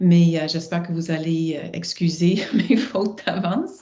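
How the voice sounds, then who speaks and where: In audible room echo, a woman speaks very slowly, her fairly low pitch held to fairly even intonation. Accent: English. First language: English (speaking French). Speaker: professor and researcher. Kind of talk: live online talk introduction. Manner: hesitant, many fillers.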